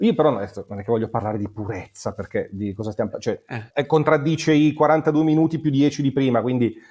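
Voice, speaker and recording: Speaking at a fairly quick pace, a man with a dark, mellow tone uses a fairly high pitch. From Monza, Lombardy, northern Italy. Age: 40s. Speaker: music promoter and writer. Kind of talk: casual chat. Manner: halting, repeats words.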